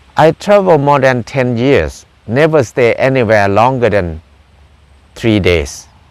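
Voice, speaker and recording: A man speaks at a fairly slow pace in a medium pitch. His pitch swings very widely while his loudness stays very even. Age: 60s. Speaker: farmer and self-reliance teacher. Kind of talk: personal talk to camera. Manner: halting.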